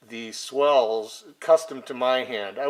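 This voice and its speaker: A man talks at a medium pitch with fairly even intonation. Noticeable background noise sits behind him. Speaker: hobbyist knife modder. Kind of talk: casual tutorial video. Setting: garage workshop. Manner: off-the-cuff, many filler ums.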